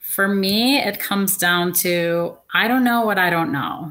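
With an American accent, a woman speaks at a fairly slow pace. She has an ordinary speaking voice. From Seattle, Washington, US Pacific Northwest. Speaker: consumer panelist, small business owner. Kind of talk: panel discussion.

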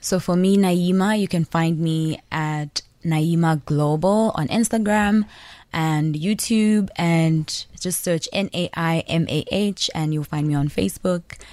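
In a Malawian accent, a woman speaks at a fairly slow pace with a fairly low pitch and ordinary pitch variation. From Zambia. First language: Nyanja. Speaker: musician. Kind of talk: radio interview.

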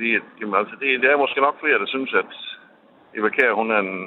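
The speaker is a man with a medium pitch. He moves at a fairly quick pace, and his pitch varies in an ordinary way. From Denmark, Kolding. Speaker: radio caller. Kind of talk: phone-in call. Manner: halting, many fillers.

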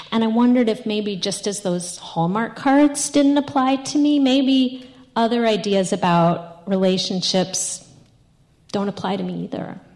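A woman with an American accent speaks at a fairly slow pace in a fairly high pitch, her intonation lively over noticeable background noise. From New York. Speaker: storyteller. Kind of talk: personal storytelling.

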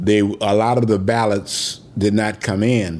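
With a Detroit accent, a man talks at a fairly low pitch. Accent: northern US, Detroit. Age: 70s. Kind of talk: interview recollection. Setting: in-person at home.

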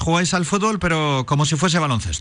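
A man talks with ordinary pitch variation. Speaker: radio host. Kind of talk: casual radio chat with interviews.

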